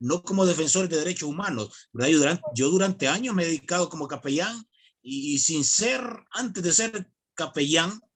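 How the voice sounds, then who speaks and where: Lively intonation from a man, his voice fairly high, the pace moderate. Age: 40s. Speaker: evangelical chaplain. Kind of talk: online video call discussion. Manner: hesitant, many fillers.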